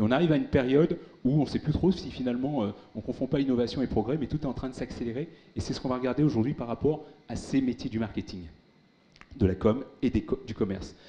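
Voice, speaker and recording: A man talks very fast in a medium-pitched voice with a dark, mellow tone and ordinary pitch variation. Long pauses come often. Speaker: tech speaker, former big-tech employee; speaker. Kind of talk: conference keynote. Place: hall. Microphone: handheld.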